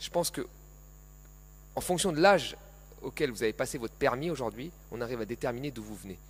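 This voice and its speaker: A man with a medium pitch and vocal fry talks very fast, with lively intonation, big swings in loudness and long, frequent pauses. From Paris suburbs (Seine-Saint-Denis), France. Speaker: economist. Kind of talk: panel talk. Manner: animated.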